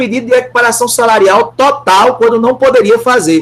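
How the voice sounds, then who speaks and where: There is noticeable background noise behind this male speaker. His pitch varies in an ordinary way. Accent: Brazilian. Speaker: law professor. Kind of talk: lecture.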